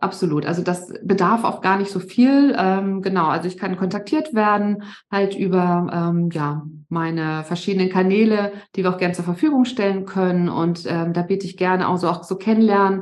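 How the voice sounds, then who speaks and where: A woman uses an ordinary speaking voice with ordinary pitch variation at a moderate pace. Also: medium pitch for a woman. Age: 50s. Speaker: resilience coach. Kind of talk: podcast interview.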